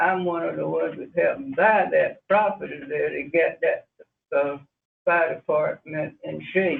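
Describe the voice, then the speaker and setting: Someone with a North Carolina accent speaks at a very slow pace. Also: man. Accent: North Carolina Southern. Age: 80s+. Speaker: community resident. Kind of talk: public comment at county meeting. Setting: county commissioners meeting.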